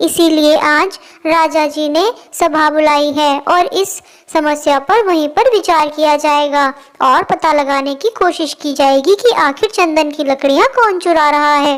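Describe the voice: A cartoonish character voice sounds female and high pitched. It runs at a moderate pace.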